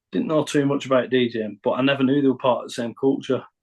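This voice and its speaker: A man speaks with a northern English accent. His pitch is medium. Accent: northern English, kept deliberately. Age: 40s. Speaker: rapper and producer. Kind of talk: podcast interview. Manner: halting.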